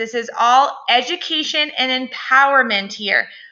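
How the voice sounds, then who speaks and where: Raising and projecting her voice, a woman speaks at a fairly slow pace in a high pitch with a bright, sharp tone. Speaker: pre and postnatal fitness coach. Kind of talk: educational podcast monologue.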